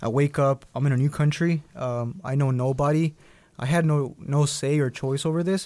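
A man with a Spanish accent, fairly high in pitch, at a moderate pace with fairly even intonation. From Durango, Mexico; raised in Dallas, Texas. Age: 20s. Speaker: DACA recipient, student. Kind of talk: interview testimony. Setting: studio.

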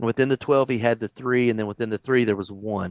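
Recorded very cleanly against a silent background, a man with a Texan accent comes through with a dry, close sound and no echo. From Texas. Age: 40s. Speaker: youth pastor. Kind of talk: casual chat. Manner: halting.

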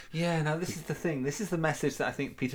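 This man speaks in a Geordie accent. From North East England. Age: 40s. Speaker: podcast host. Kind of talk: casual chat.

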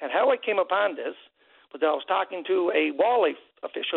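A man with a Newfoundland accent at a fairly quick pace. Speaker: caller, hunter. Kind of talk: radio call-in. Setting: phone call.

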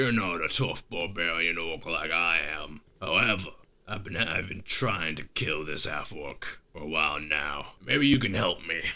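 In a put-on character voice, a man speaks at a very deep, low pitch. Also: moderate pace. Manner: gruff, menacing, blunt.

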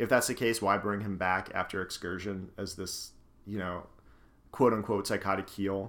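A man with an American accent speaks at a moderate pace in an ordinary speaking voice. His pitch is fairly low and his intonation fairly even. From northeastern US, Scranton, Pennsylvania. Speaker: podcast host. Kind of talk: casual chat. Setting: home living room.

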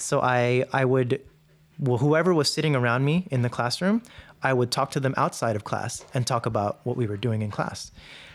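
Over a very clean recording with a silent background, a man with an American accent talks at a medium pitch and a moderate pace with ordinary pitch variation. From New York City. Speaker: military veteran. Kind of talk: interview storytelling.

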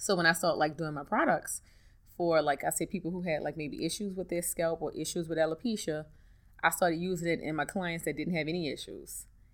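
A woman's fairly low voice in a New Orleans accent, fairly quick and fairly even in intonation, on a very clean recording with a silent background. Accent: New Orleans Southern US. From US South, New Orleans. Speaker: hairstylist and hair care entrepreneur. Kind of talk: interview.

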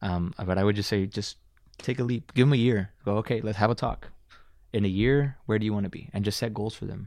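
A man uses a normal speaking voice at a fairly low pitch with fairly even intonation. He talks at a fairly quick pace against a quiet background. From Dallas, Texas. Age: 20s. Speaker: filmmaker. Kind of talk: casual interview chat. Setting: studio.

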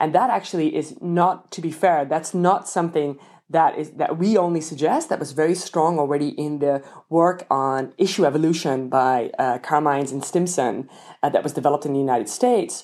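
The speaker has a dark, mellow tone and a Dutch accent, talking at a fairly quick pace with ordinary pitch variation. The recording is very clean, with a silent background. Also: woman, very deep, low pitch for a woman. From Netherlands. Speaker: political science professor. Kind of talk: interview. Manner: halting, frequent repetitions.

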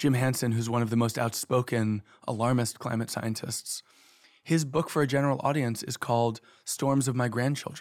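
A man's normal speaking voice at a moderate pace and medium pitch, with fairly even intonation and an American accent. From New York City. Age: 30s. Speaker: author. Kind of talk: interview.

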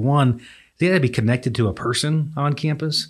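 A man with a Texan accent, ordinary pitch variation, and a very clean recording over a silent background. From West Texas (Coleman, near Abilene). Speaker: university administrator. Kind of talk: casual chat.

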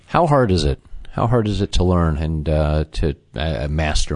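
A man with an American accent speaks in a very deep, low pitch with ordinary pitch variation. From US Midwest, Chicago. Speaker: podcast host, interviewer. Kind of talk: interview.

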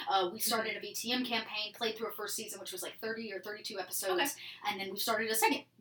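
Amid noticeable background noise, a woman with an American accent talks at a very fast pace and a fairly high pitch, her intonation fairly even and her loudness swinging widely. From Georgia, US South (small town). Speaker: improv theatre worker and streamer. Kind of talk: casual chat.

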